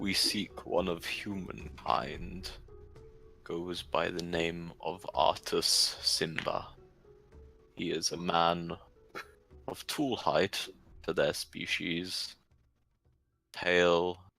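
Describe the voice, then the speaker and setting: A put-on character voice from a man, very deep and low and rumbling, at a very slow pace with long, frequent pauses and faint music in the background. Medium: actual play. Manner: slow, formal, terse.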